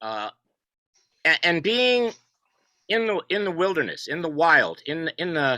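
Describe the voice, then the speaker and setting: Loud and bright with a sharp edge, a man's high voice makes very wide pitch swings at a fairly slow pace. His long, frequent pauses come through a dry, close sound with no echo. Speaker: poet and contributor to an essay collection. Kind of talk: video call panel discussion. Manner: halting, repeats words.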